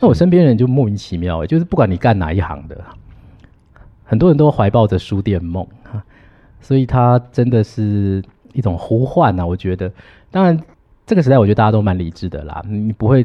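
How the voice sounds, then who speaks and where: Lively intonation from a man with a Taiwanese accent and a fairly low pitch, at a fairly quick pace. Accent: Taiwanese Mandarin. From Taiwan, Hsinchu County. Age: 40s. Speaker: university teacher. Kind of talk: interview conversation.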